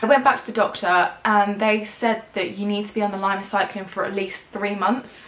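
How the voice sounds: A woman at medium pitch talks at a fairly quick pace, her fairly bright tone and fairly even intonation carried through audible room echo.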